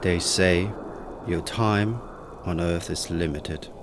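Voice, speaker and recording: A man's very deep, low voice at a fairly slow pace, with audible room echo and music in the background. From Denmark. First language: Danish. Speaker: chef. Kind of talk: scripted narration.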